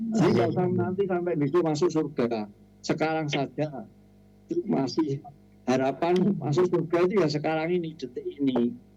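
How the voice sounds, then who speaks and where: Noticeable background noise is present. Through it, a man speaks at a moderate pace. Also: ordinary pitch variation. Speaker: elderly community member sharing on radio. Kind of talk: sharing on radio program.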